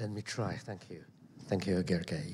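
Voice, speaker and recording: A man with a Chinese accent speaks in a dark, mellow, somewhat breathy tone. Room echo is audible around him. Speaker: investment manager, panelist. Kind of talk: panel discussion. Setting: conference stage. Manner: halting.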